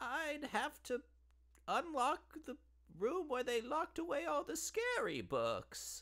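In a put-on character voice, a man speaks at an extremely high pitch and a fairly slow pace, with long, frequent pauses. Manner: odd, sweetly eerie, pushy about her tea.

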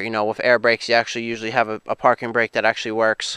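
Against a quiet background, a man's bright, sharp voice comes through dry sound with no echo. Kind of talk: casual vlog chat. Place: open country. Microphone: phone near.

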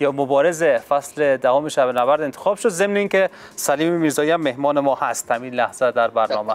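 A man with a normal speaking voice and a fairly high pitch talks at a moderate pace with ordinary pitch variation. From Afghanistan. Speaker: sports TV host. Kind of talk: TV talk show. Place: studio. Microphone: lapel.

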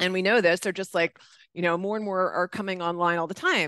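A woman is speaking. The sound is dry with no echo against a quiet background. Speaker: host of an online XR meetup. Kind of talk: casual, enthusiastic. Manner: fast talker. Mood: warm, affectionate. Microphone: webcam.

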